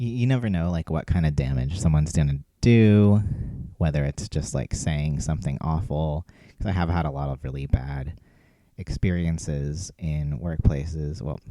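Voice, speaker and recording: Soft-spoken, a man with a very deep, low pitch talks at a moderate pace with ordinary pitch variation. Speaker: cleaning vlogger. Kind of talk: casual vlog monologue while cleaning.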